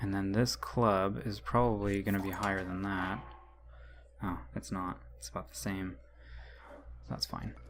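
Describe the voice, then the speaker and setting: The speech runs at a fairly slow pace, with very wide pitch swings and long, frequent pauses. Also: man, very deep, low pitch for a man. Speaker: gaming youtuber. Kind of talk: let's play commentary. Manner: casual, hesitant with fillers.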